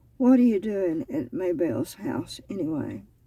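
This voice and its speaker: A woman puts on a raspy character voice at medium pitch. She talks at a moderate pace with very wide pitch swings. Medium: read story. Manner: guarded, terse.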